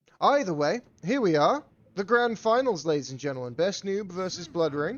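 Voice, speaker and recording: A man speaks with a West Country accent at a high pitch. His pitch swings very widely. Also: moderate pace. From England (Bristol). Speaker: game streamer and tournament caster. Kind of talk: live game commentary mixed with chat to viewers. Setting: live stream. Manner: casual, swearing, halting with restarts.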